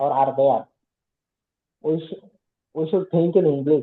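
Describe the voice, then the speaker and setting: A man speaks with fairly even intonation in an Odisha accent. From India, Odisha. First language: Odia. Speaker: English learner, working professional. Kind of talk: casual conversation practice. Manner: halting, with fillers.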